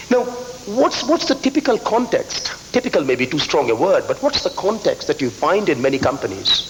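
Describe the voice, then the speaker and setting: A man talking with hardly any pauses and very even loudness, over noticeable background noise. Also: moderate pace. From eastern India, Calcutta. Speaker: business school professor. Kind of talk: conference speech. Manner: repeats words, slight stammer.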